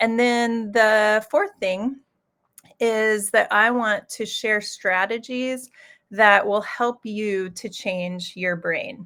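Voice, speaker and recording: Speaking very slowly with a Midwestern US accent, a woman keeps her intonation fairly even. Her fairly high voice has a bright, sharp tone. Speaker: executive coach. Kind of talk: live webinar presentation. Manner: hesitant, many fillers.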